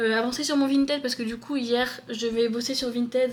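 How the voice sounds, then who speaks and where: Moderate pace, fairly high pitch and monotone, flat intonation from a woman, with noticeable background noise. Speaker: book vlogger. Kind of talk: casual vlog talk. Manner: hesitant, many fillers; loud when passionate.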